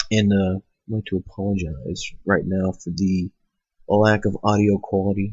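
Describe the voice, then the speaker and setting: A man's somewhat breathy, fairly low voice. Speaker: comedy vlogger. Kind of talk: casual monologue rant. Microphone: poor audio quality, cheap setup.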